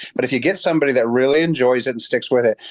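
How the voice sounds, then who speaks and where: In a dry, close sound with no echo and a quiet background, a man uses a normal speaking voice with ordinary pitch variation. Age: 50s. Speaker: chiropractor. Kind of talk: interview. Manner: casual, with many repeated words.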